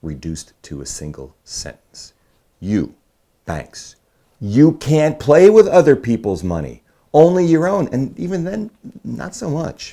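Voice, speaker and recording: A man with an American accent at a fairly slow pace, loudness swinging widely, on a very clean recording with a silent background. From Brooklyn, New York. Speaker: political candidate, writer and filmmaker, former finance executive. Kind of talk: political commentary to camera. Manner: conversational, wry, explanatory.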